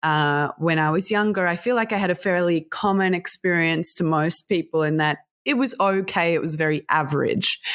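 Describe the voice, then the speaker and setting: A woman with an Australian accent speaks at a fairly low pitch and very even loudness, with hardly any pauses. The recording is very clean, its background silent. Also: ordinary pitch variation, moderate pace. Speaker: sex tech entrepreneur and speaker. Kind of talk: interview.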